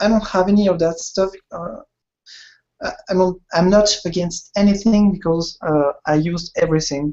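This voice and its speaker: A man speaks with a French accent and a high pitch. His pace is moderate, with ordinary pitch variation. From France. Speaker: illustrator and concept artist. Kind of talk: interview. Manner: halting.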